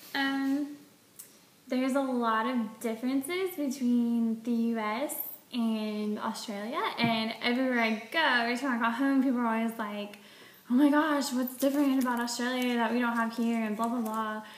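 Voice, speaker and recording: A woman with a Southern US accent speaks at a moderate pace in a high voice, her intonation fairly even, with audible room echo. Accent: Southern US (Georgia). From US South, Georgia. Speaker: vlogger. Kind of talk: casual vlog monologue. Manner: casual, filler-heavy.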